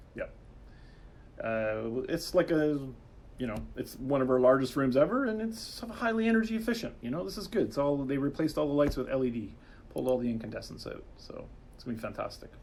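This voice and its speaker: With noticeable background noise behind him, a man speaks at a fairly high pitch, with very wide pitch swings and big swings in loudness. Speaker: game developer livestream host. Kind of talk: livestream chat. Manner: halting, many fillers.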